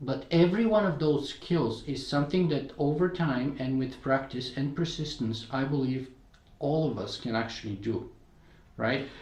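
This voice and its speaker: A man with a Bulgarian accent speaks at fairly high pitch and a moderate pace, with ordinary pitch variation and audible room echo. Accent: noticeable Bulgarian. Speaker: podcaster and blogger. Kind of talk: interview conversation.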